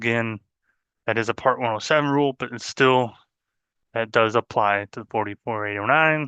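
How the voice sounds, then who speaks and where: With a bright, sharp tone and medium pitch, a man speaks in fairly even intonation with long, frequent pauses, his voice dry and close with no echo over a quiet background. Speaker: drone flight instructor. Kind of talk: webinar presentation. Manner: fast.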